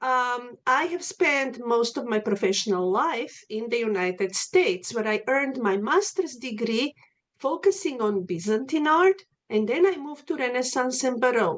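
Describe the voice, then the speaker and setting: Very wide pitch swings at a moderate pace, in a Slavic accent. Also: woman, high pitch for a woman. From Macedonia. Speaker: art history professor. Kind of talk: lecture. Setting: video call.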